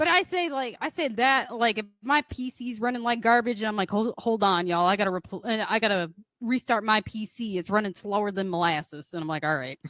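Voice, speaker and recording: On a very clean recording with a silent background and a dry, close sound with no echo, a woman speaks fairly quickly with hardly any pauses, her fairly high voice making very wide pitch swings. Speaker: podcast co-host. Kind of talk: casual chat.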